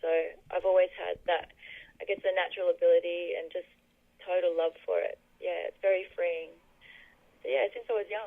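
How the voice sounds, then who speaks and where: A woman with an Australian accent talks at a fairly quick pace. She leaves long, frequent pauses. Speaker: singer and songwriter. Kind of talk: radio interview.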